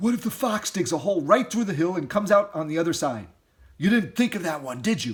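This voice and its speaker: Using a put-on character voice, a man talks at a very fast pace in a high pitch with very wide pitch swings. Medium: read story.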